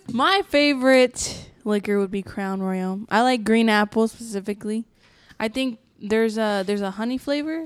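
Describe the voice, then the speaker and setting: A woman's normal speaking voice, fairly high in pitch with ordinary pitch variation, at a moderate pace on a very clean recording with a silent background. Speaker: guest. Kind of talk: casual chat.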